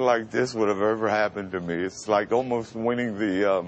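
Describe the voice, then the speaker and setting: Noticeable background noise sits behind a man speaking at a moderate pace. His pitch is fairly low with ordinary variation. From Brooklyn, New York. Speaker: radio announcer. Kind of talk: interview answer.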